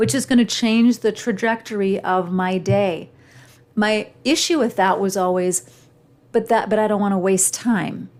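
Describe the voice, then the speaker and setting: A woman speaks in a normal speaking voice at a medium pitch. Her pace is moderate. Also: ordinary pitch variation. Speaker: podcast host and communication coach. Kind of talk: solo podcast monologue.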